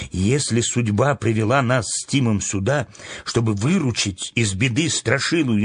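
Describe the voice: The speaker does plain reading aloud. The pitch varies in an ordinary way.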